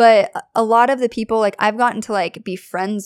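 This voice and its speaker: A woman with an American accent and an unremarkable speaking voice, fairly high in pitch and fairly even in intonation, in a dry, close sound with no echo and a very clean recording over a silent background. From US Pacific Northwest (Kelso, Washington). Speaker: small business owner. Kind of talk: casual interview chat. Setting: home studio.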